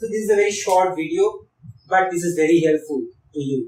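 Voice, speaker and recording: This man has a high pitch and speaks at a fairly quick pace with a Bengali accent. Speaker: biology teacher. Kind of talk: tutorial.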